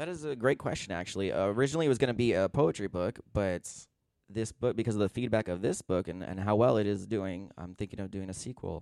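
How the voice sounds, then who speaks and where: Very fast and fairly low-pitched, a man with an American accent shows ordinary pitch variation on a very clean recording with a silent background and a dry, close sound with no echo. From Southern California, San Gabriel Valley. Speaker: author. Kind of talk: interview.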